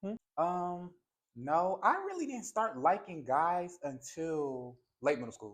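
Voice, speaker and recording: Delivered at a very slow pace, the speech has lively intonation and big swings in loudness. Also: man, high pitch for a man. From New Jersey. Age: 20s. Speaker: content creator. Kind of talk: casual chat.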